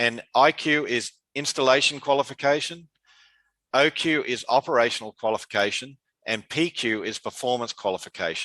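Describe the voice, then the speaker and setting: A man's medium-pitched voice with a bright, sharp tone and an Australian accent, at a moderate pace, dry and close with no echo, over a quiet background. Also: ordinary pitch variation. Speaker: conference speaker on dialysis water treatment. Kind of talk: conference presentation. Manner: hesitant, many fillers.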